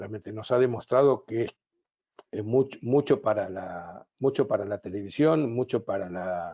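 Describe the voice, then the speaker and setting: A man with an Argentine accent speaks at a fairly slow pace, his medium pitch showing ordinary variation. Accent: Argentine Spanish (Rioplatense). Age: 70s. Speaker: business consultant and psychotherapist. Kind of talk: webinar talk. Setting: online webinar.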